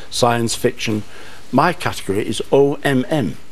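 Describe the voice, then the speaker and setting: A man with a Manchester accent and lively intonation. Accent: Manchester, northern English. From North West England. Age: 70s. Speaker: author. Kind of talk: TV studio interview answer. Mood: warm, lively storytelling. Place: studio. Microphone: lapel.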